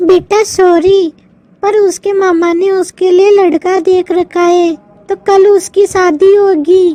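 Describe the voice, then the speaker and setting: A woman's cartoonish character voice at an extremely high pitch, monotone and flat, at a fairly slow pace, with a dry, close sound and no echo. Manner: calls everyone "beta".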